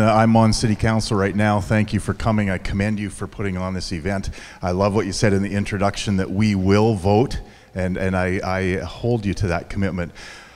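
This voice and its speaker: With a western Canadian accent, a man talks at a fairly quick pace. His pitch is fairly low. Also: fairly even intonation. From Fort St. John, British Columbia, Canada. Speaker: city councillor. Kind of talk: candidate introduction at forum. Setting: school forum with student audience.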